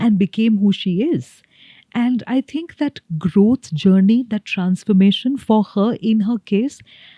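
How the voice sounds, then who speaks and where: A woman's dark, mellow, somewhat breathy voice at a fairly slow pace, with lively intonation. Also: fairly high pitch for a woman, dry, close sound with no echo. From India. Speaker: communication coach and corporate trainer. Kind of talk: podcast interview answer.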